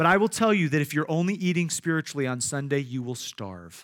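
A man with a Midwestern American accent speaks at a fairly quick pace with lively intonation and a bright, sharp tone. The recording is very clean, with a silent background. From Iowa. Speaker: pastor. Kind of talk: sermon. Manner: halting, frequent repetitions and fillers.

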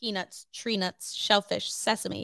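A woman's fairly high, bright and sharp voice with an American accent, fairly even intonation, a moderate pace, and a dry, close sound with no echo. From New Jersey (Cherry Hill, near Philadelphia). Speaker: student podcast co-host. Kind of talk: casual chat.

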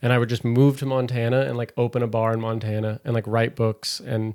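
In a very clean recording with a silent background, a man at medium pitch speaks fairly quickly in a monotone, flat delivery. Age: 20s. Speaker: stand-up comedian. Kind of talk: casual chat.

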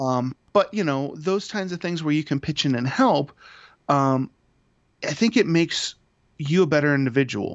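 This man has an Ohio accent and speaks at a moderate pace with ordinary pitch variation. He takes long, frequent pauses. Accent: Midwestern American (Ohio). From Toledo, Ohio. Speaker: father and podcaster. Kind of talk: casual chat.

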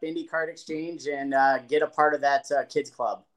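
In a very clean recording with a silent background, a man with a fairly high pitch talks at a moderate pace in an ordinary speaking voice. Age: 40s. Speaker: card collector. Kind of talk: casual chat.

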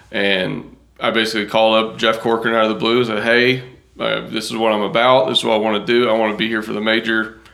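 A man with an American accent speaks at a very fast pace. His medium pitch stays monotone and flat. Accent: Southern US, noticeable to New Yorkers. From Kentucky, rural farming community. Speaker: golf course turf professional. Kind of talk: casual interview chat.

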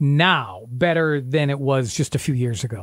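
A man with an unremarkable speaking voice talks at a fairly slow pace. His pitch is fairly high, and the recording is very clean with a silent background. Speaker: radio show co-host. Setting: radio show studio. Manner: warm, chatty, upbeat, easygoing.

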